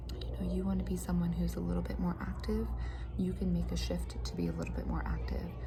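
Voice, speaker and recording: Soft-spoken and very deep in pitch, a woman talks very fast with very even loudness and monotone, flat intonation over noticeable background noise. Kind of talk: casual talk to camera, motivational chat. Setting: cafeteria / office with muffled background noise.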